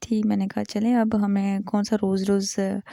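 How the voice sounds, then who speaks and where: A woman's strained voice with a dark, mellow tone and monotone, flat intonation, dry and close with no echo. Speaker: vlogger. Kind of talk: vlog voice-over narration. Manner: restrained volume in voice-over.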